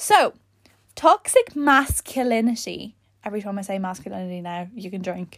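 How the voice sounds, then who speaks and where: Using an Irish accent, a woman of medium pitch sounds animated and somewhat breathy, with lively intonation. Her loudness swings a lot. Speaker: podcast host. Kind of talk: casual monologue. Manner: fast.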